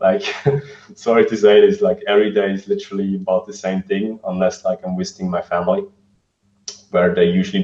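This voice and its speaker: Words arrive at a fairly quick pace. The speaker talks with a non-native accent. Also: man. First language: not English. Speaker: vegan fitness coach. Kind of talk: interview. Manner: halting, many fillers.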